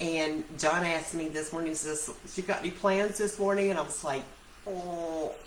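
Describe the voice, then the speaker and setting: A woman talks at a moderate pace in a fairly low voice with fairly even intonation. Audible room echo and noticeable background noise surround her. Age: 60s. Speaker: essential oil seller and vlogger. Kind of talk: casual vlog chat. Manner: chatty, rambling with self-corrections.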